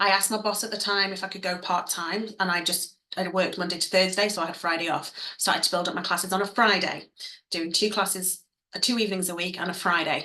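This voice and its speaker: A woman with an English accent, medium in pitch, at a very fast pace. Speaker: dance fitness business owner and coach. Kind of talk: online masterclass. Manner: animated.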